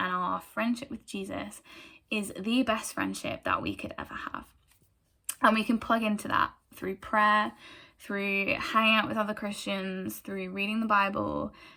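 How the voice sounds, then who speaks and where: A woman's bright, sharp voice sits at a medium pitch. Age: 20s. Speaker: church group speaker. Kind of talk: testimony. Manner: hesitant, many fillers.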